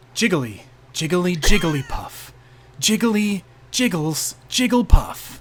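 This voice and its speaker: This is a put-on character voice, squeaky and female-sounding at a medium pitch. It moves at a fairly slow pace. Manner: cute.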